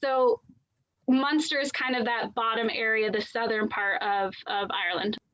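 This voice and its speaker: Here is a woman with a normal speaking voice and an American accent. Her pitch is fairly high with ordinary variation, and her pace is moderate. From United States. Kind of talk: casual explanation on video call.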